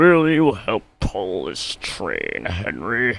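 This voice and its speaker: A man puts on a raspy character voice at medium pitch, with very wide pitch swings. He speaks at a very slow pace. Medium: read story. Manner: authoritative.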